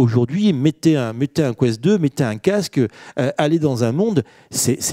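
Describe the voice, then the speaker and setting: A man's fairly high-pitched voice, an ordinary speaking voice, fairly slow and with lively intonation, over a quiet background. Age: 50s. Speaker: business executive and author; panelist. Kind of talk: panel discussion. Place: hall. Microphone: handheld.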